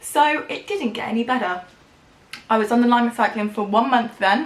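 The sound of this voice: A woman with a fairly high pitch speaks amid audible room echo. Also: ordinary pitch variation, moderate pace.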